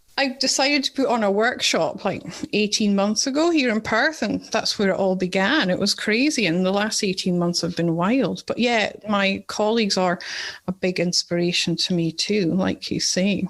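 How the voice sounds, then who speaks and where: A woman with a strong Scottish accent, medium pitch, moderate pace and very even loudness. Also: lively intonation. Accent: Scottish, coming out strong. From Scotland. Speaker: nurse and podcast host. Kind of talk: podcast interview.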